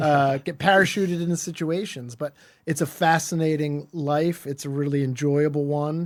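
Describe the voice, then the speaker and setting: A man with a Philadelphia accent speaks at a moderate pace in a fairly high voice with fairly even intonation. The recording is very clean, with a silent background. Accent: American, Philadelphia. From US Northeast, Philadelphia suburbs. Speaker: lawyer. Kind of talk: interview. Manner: conversational, with fillers.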